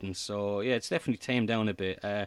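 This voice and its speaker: Someone with an Irish accent talks at a very fast pace in a very clean recording with a silent background and a dry, close sound with no echo. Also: man. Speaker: comedy podcast host. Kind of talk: interview. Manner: halting.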